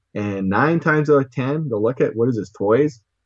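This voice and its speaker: A man with a Canadian accent speaks at a fairly quick pace in a plain, everyday voice. His pitch varies in an ordinary way, and the background is quiet. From Saskatchewan, Canada. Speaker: toy collector. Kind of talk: interview.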